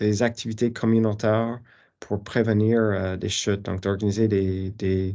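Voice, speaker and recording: Speaking very slowly over a quiet background, a man with an English accent has a dark, mellow tone and a monotone, flat delivery. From Newfoundland, Canada. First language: English (speaking French). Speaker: professor. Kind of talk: lecture. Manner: halting, many fillers.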